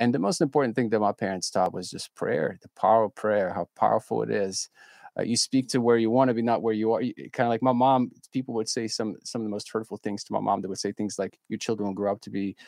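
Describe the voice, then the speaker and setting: A man with a fairly low pitch speaks at a very fast pace with fairly even intonation, the sound dry and close with no echo and the background quiet. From Ukraine. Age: 30s. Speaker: charity representative. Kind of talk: interview testimony.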